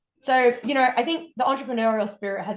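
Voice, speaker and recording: A woman speaks in an Australian accent. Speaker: wellness coach. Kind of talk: podcast interview.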